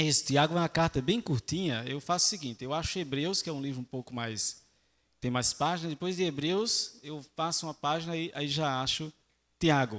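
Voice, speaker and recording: A man with a Northeastern Brazilian accent, fairly high in pitch, moderate in pace and ordinary in pitch variation, on a very clean recording with a silent background. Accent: Northeastern Brazilian (Alagoas). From Brazil, Alagoas (Maceió). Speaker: lay preacher. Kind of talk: sermon. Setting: church.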